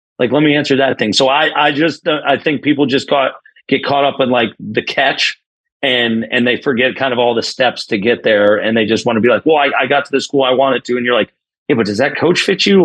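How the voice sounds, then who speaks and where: In a New York accent, a man speaks in an energetic tone at a fairly quick pace, with a medium pitch and very even loudness. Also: ordinary pitch variation. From New York (Binghamton). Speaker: college baseball head coach. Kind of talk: podcast interview. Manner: fast.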